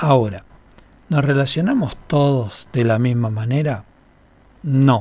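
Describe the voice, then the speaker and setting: A somewhat breathy man at medium pitch, with lively intonation and a very slow pace. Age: 50s. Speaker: radio host and holistic therapist. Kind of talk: radio talk show, explanatory. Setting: radio studio.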